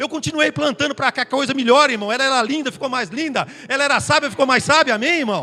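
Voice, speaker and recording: A raised, projected voice with a bright, sharp tone, a very fast pace, hardly any pauses, and ordinary pitch variation. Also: man, extremely high pitch for a man. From northeast Brazil (Tabira, Pernambuco). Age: 60s. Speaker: pastor. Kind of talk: sermon.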